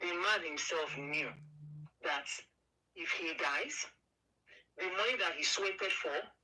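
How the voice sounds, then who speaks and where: At a fairly slow pace with long, frequent pauses, the voice keeps a very even loudness and ordinary pitch variation amid audible room echo. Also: woman, fairly low pitch for a woman. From Nigeria, Igbo (southeast). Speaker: caller. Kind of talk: opinionated radio call-in chat. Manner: animated.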